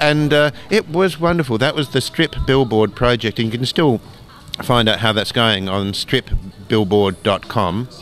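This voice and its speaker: Music plays in the background as a man speaks at a medium pitch with ordinary pitch variation. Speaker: doctor and comic artist. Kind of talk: interview. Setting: convention. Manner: slow.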